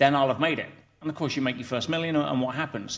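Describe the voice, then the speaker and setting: Fairly high in pitch, a man with an English accent speaks with fairly even intonation. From England. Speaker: entrepreneur and coach. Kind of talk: interview conversation. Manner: hesitant with frequent fillers and restarts.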